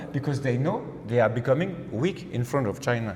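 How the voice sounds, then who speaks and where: There is audible room echo and noticeable background noise as a man speaks with a French accent. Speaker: political researcher. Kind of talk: political discussion. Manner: halting.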